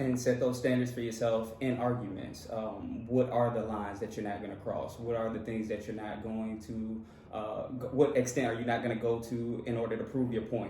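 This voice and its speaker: Moderate pace from a man at medium pitch, monotone, flat intonation and hardly any pauses, with audible room echo and noticeable background noise. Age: 30s. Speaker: married couple vlogger. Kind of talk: casual chat.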